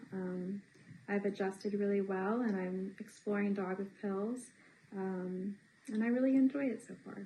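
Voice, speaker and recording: A woman with an American accent talks at a moderate pace at a medium pitch, somewhat breathy, with a dark, mellow tone and fairly even intonation. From US South, Tennessee (Johnson City). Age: 20s. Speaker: English teaching assistant. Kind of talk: interview. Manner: halting, many fillers.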